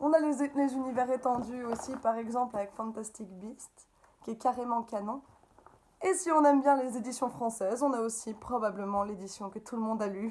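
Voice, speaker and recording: Her voice is high in pitch, with a slight Belgian accent and ordinary pitch variation. Background noise is noticeable behind the woman. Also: moderate pace. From Belgium. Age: 30s. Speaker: upcycling craft maker. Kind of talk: interview. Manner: animated.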